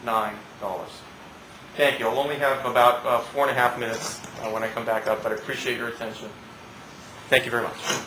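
Over noticeable background noise, a man with a medium-pitched voice talks very fast in a flat monotone. He leaves long, frequent pauses. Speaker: trial attorney. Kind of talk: courtroom closing argument to a jury, rhetorical questions and repetition. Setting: courtroom. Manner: punchy, emphatic, repeating words for effect; indignant, building to a forceful demand. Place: hall. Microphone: camera far.

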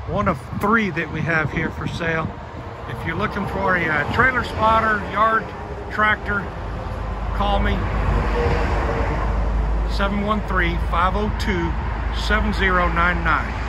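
Loud background noise runs behind a man's voice. He speaks at a fairly slow pace with long, frequent pauses. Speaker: truck salesman. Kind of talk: casual sales walkaround commentary. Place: street. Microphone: phone near.

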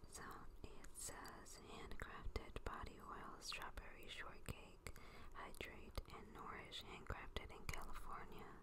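A woman whispers at a very slow pace. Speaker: ASMR creator. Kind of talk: ASMR product review. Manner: soft-spoken. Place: home room. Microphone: phone near.

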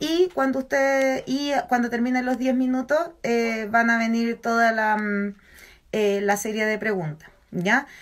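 Ordinary pitch variation marks a woman's fairly high voice. She speaks at a fairly slow pace. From Chile, San Felipe (Aconcagua valley); Chile. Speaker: nutritionist and university lecturer; university lecturer. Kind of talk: educational talk on a social media live stream. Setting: Instagram live video stream. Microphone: phone near.

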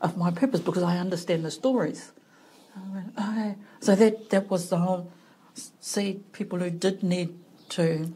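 The voice is somewhat breathy, with a dark, mellow tone. Delivery comes at a fairly slow pace with fairly even intonation. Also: woman. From New Zealand, Hawke's Bay (Heretaunga). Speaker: clinical psychologist. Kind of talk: casual interview.

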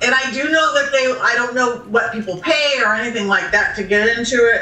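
A woman with an American accent talks high and at a fairly quick pace. Audible room echo surrounds her voice. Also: ordinary pitch variation. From Southern California. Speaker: psychic medium. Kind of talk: interview answer.

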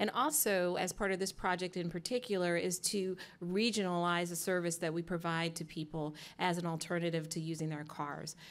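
A woman talks at a fairly quick pace in a fairly low pitch with fairly even intonation. It is a plain, everyday voice. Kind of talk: opening remarks at public meeting. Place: hall. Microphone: podium.

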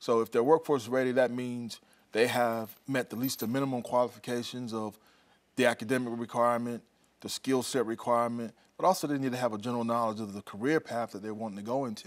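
A man with an American accent speaks at a very fast pace. His intonation stays fairly even against a quiet background. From South Carolina. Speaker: regional workforce advisor. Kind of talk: TV interview. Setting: studio. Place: studio. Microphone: lapel.

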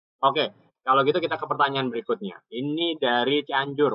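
In a normal speaking voice, a man talks at a fairly quick pace and medium pitch, with a dry sound with no echo and a quiet background. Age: young. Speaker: webinar host. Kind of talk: casual online talk show. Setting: video call from home porch. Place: home room. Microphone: video call.

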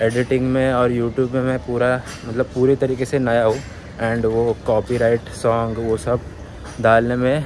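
Dry, echo-free audio with light background noise carries a monotone, flat delivery at a fairly slow pace. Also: man. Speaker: vlogger. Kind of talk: casual vlog chat. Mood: reflective, candid. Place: street. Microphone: phone near.

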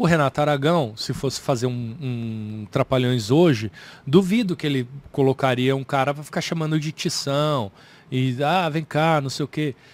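At a moderate pace, a man speaks with a fairly high pitch and ordinary pitch variation, the sound dry with no echo. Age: 40s. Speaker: comedian. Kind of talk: casual chat. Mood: thoughtful, relaxed. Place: studio. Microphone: studio mic.

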